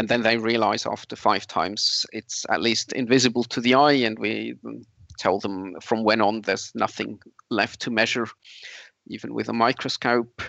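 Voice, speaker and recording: A man with vocal fry talks at a moderate pace in a medium pitch with fairly even intonation. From Switzerland. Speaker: camp organizer and secular activist. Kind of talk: interview.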